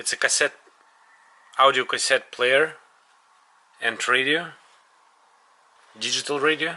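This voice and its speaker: A man with a Russian accent speaks at a fairly slow pace, leaving long, frequent pauses. His fairly high voice has a bright, sharp tone and a monotone, flat intonation. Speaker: tech reviewer. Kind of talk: product review. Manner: halting.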